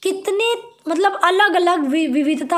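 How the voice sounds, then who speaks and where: Audible room echo around a female speaker, pitch varying in an ordinary way. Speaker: teacher. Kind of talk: tutorial.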